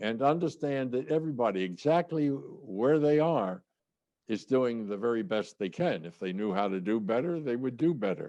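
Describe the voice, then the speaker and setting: Lively in intonation, a man with an American accent speaks at a moderate pace and medium pitch in a dark, mellow tone. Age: 90s. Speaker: sales trainer and author. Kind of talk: interview. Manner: halting.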